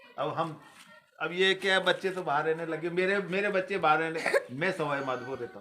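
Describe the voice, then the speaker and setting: The speech moves at a moderate pace with ordinary pitch variation and big swings in loudness, while noticeable background noise comes through. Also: man, high pitch for a man. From Rajasthan, Sawai Madhopur area. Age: 60s. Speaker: retired man revisiting childhood village. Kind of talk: casual chat.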